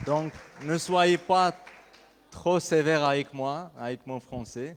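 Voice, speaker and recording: A man with an Armenian accent, fairly high pitch, ordinary pitch variation and a very slow pace. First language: Armenian (speaking French). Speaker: pastor. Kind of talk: sermon. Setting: church. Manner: halting.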